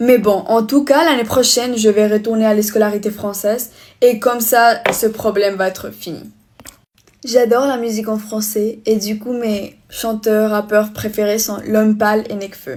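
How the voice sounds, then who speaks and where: With a Spanish accent, a woman speaks in a fairly high pitch with fairly even intonation. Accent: non-native French accent, Spanish-tinged. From Spain. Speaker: vlogger. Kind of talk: casual get-ready-with-me vlog. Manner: halting, less fluent French.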